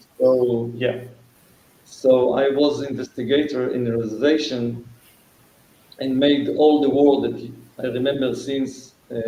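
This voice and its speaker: Flat, monotone speech comes at a fairly slow pace with long, frequent pauses and audible room echo. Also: man, medium pitch for a man. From Israel. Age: 60s. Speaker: fire case attorney and fire investigator. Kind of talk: interview. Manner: halting.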